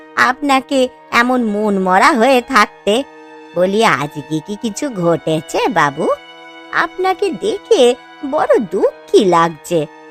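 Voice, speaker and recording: A woman's cartoonish character voice with very wide pitch swings at a very slow pace, clear music in the background. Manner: deferential, soft.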